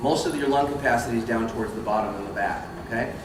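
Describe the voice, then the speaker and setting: A man rattles along at a very fast pace, with audible room echo and noticeable background noise around him. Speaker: voice actor and voice acting teacher. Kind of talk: convention panel workshop talk. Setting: convention panel room with audience, no microphone. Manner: loud, projecting; casual, with false starts. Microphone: no microphone.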